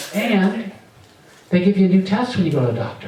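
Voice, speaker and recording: A man's voice carries audible room echo. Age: 60s. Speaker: stand-up comedian. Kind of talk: stand-up. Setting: stage with audience. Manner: animated.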